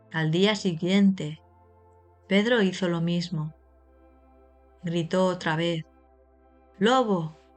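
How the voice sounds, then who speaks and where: Speaking at a very slow pace with long, frequent pauses, a woman with a fairly low pitch keeps a calm tone and fairly even intonation over music in the background. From Spain. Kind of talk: slow story reading for language learners. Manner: slow, calm, clear.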